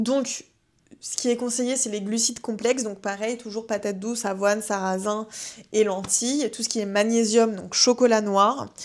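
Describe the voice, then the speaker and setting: A woman with a fairly high pitch holds a moderate pace in a monotone, flat intonation. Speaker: wellness podcast host. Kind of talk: casual advice podcast. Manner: hesitant, many fillers.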